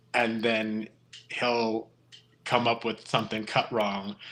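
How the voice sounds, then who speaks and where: At a very slow pace, a man talks with a medium pitch. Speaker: podcast host, construction worker. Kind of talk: casual chat. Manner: mumbling.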